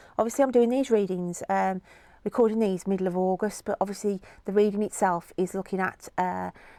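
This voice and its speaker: With a British accent, a woman talks at a fairly quick pace. Her tone is dark and mellow, and her intonation fairly even. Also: medium pitch for a woman. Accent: regional UK accent, noticeable. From UK. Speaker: tarot reader. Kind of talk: tarot reading video. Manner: casual, chatty with fillers.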